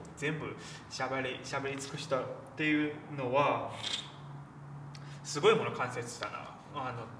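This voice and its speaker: The speaker keeps a moderate pace with ordinary pitch variation and long, frequent pauses, amid audible room echo and noticeable background noise. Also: man, fairly high pitch for a man. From China, Shanghai. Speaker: film journalist. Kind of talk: casual film discussion.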